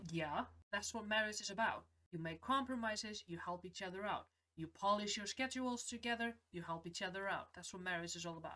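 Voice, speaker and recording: At a fairly quick pace, a woman talks at medium pitch with a bright, sharp tone and ordinary pitch variation. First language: not English. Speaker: film reaction youtuber. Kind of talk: casual film reaction and review.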